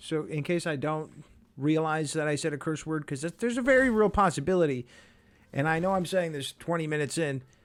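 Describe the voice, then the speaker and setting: A man speaks at a fairly quick pace. His voice sits fairly high. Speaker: gaming streamer. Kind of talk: gameplay commentary. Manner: fast; casual, rambling with filler words.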